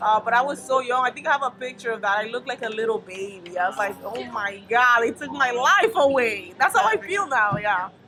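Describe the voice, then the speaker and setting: With a Spanish accent, a woman speaks at a moderate pace in a high, animated voice with lively intonation, over noticeable background noise. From Dominican Republic. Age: 30s. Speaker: stand-up comedian. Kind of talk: casual interview chat.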